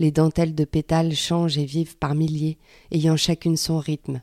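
A woman's very deep, low voice, dark and mellow, flat and monotone at a moderate pace, dry and close with no echo, on a very clean recording with a silent background. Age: 30s. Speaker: fiction author and narrator. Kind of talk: scripted narration of a fiction monologue.

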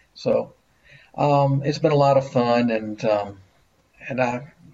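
The speaker has a Mississippi accent. The voice is somewhat breathy. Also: man. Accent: US Southern (Mississippi). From Jackson, Mississippi. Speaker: local history author. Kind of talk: virtual panel discussion.

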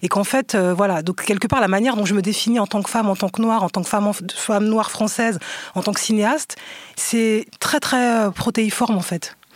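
A woman's fairly high voice, fairly quick, with fairly even intonation and very even loudness. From France, Seine-Saint-Denis (Aulnay-sous-Bois). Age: 40s. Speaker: documentary filmmaker. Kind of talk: casual interview discussion. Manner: halting, repeats words.

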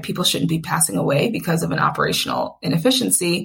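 With an American accent, a woman talks at a fairly quick pace over noticeable background noise. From Atlanta, US South. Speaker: startup founder. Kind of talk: interview.

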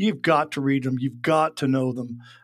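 A man has a normal speaking voice with a fairly high pitch and fairly even intonation at a moderate pace. The recording is very clean, with a silent background. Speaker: insurance industry expert. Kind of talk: casual interview.

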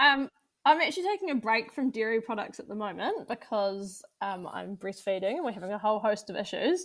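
With a New Zealand accent, a woman speaks at a fairly quick pace and fairly high pitch, using lively intonation and big swings in loudness. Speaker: agriculture podcast co-host. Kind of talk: casual chat.

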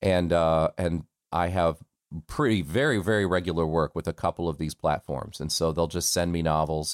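The sound is dry and close, with no echo. The speaker has an American accent and fairly even intonation. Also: man, very deep, low pitch for a man, moderate pace. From United States, military family that moved around. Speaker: voice actor. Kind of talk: casual interview. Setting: remote call. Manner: laughs often.

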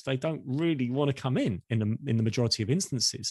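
With lively intonation and a fairly quick pace, a man speaks in an unremarkable speaking voice at medium pitch, the sound dry and close with no echo. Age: 50s. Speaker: marketing executive and podcast host. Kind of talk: interview.

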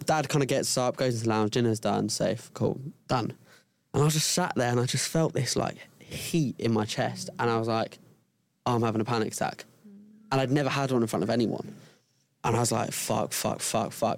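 A man with a British accent speaks at a fairly quick pace and medium pitch, with ordinary pitch variation and long, frequent pauses. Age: 20s. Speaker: content creator. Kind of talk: casual chat.

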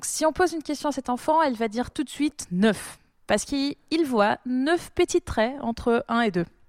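Her voice high in pitch, a woman speaks at a moderate pace with lively, sing-song intonation. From Brazil. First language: Portuguese (speaking French). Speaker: doctoral student in probability. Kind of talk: casual chat.

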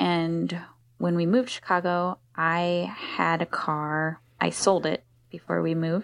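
A woman with an American accent speaks fairly slowly in a monotone, flat way. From US Northeast, Philadelphia. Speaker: cargo bike shop owner. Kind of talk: interview conversation.

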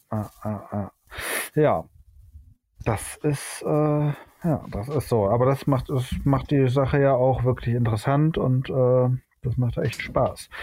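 Very slow and marked by long, frequent pauses, a man's medium-pitched voice sounds somewhat breathy and dark and mellow in tone, with ordinary pitch variation. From Germany, Hamburg / Düsseldorf area. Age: 40s. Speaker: photographer, trained master painter. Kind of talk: casual chat. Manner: halting, many filler sounds.

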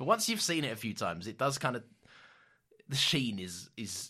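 In a very clean recording with a silent background, a man with a bright, sharp tone talks at a fairly quick pace, with big swings in loudness and long, frequent pauses. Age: 20s. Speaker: podcast co-host. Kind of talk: casual chat. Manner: halting.

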